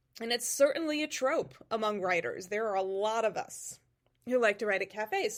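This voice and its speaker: A woman with a slight New England accent at a fairly quick pace, with very wide pitch swings, on a very clean recording with a silent background. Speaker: podcast host and fantasy author. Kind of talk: casual solo podcast talk. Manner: hesitant, many fillers.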